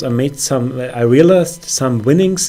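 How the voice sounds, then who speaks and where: A man with a non-native accent speaks at a moderate pace in a fairly high voice against noticeable background noise. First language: not English. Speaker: forex trader. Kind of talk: trading account review with chart walkthrough. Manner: hesitant, many fillers.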